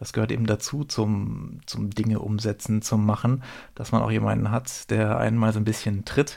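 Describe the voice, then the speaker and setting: A man with a fairly low pitch speaks at a moderate pace in a dark, mellow tone and a flat monotone, on a very clean recording with a silent background. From southern Baden, Rheinfelden near Basel. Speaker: podcast co-host. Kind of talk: casual chat.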